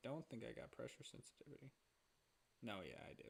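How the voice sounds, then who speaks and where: A soft-spoken man is talking. His pace is fairly quick. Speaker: art streamer. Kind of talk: casual live stream chat while drawing.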